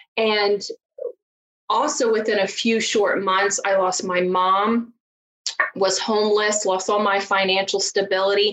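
A woman's medium-pitched voice with an American accent, monotone and flat, at a fairly slow pace with long, frequent pauses and very even loudness. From rural Virginia mountains, US. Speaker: divorce strategist and coach. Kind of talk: interview, conversational.

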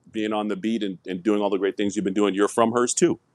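Here a man with a Toronto accent speaks at a fairly low pitch with ordinary pitch variation. The recording is very clean with a silent background, dry and close with no echo. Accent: Canadian (Toronto). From Toronto, Canada. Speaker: former hockey player. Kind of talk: interview.

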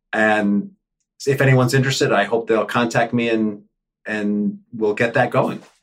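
A man with an American accent, an unremarkable speaking voice, medium pitch and fairly even intonation. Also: moderate pace. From New York City, Upper West Side. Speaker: conflict coach. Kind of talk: interview.

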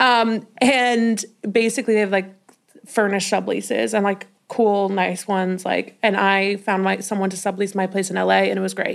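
In an American accent, a woman with an unremarkable speaking voice talks at a moderate pace and medium pitch, keeping her intonation fairly even. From Colorado, Denver. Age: 20s. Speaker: podcast host and curve model. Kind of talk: casual chat.

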